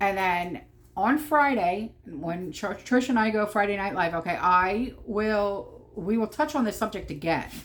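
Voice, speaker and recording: A woman speaks with a New Jersey accent at medium pitch. Her intonation is lively. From New Jersey, Atlantic City. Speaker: prepper vlogger. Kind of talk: casual vlog monologue. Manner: animated, emphatic; repeated okay fillers, stammering.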